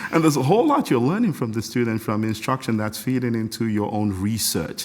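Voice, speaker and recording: An animated, enthusiastic voice rushes along at a very fast pace with ordinary pitch variation over noticeable background noise. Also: man, medium pitch for a man. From Nigeria, Lagos. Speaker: composer and music professor. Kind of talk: casual interview. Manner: halting with many repetitions.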